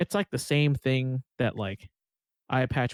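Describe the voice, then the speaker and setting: At a moderate pace, a man talks in a medium-pitched voice, the sound dry and close with no echo. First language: not English. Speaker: podcast co-host. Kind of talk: casual chat; reading aloud. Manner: halting.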